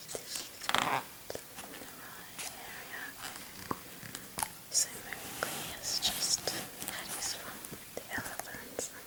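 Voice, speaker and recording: Whispering at a very slow pace with long, frequent pauses, the voice sits over noticeable background noise. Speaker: ASMR artist. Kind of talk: casual talk to camera. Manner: whispered.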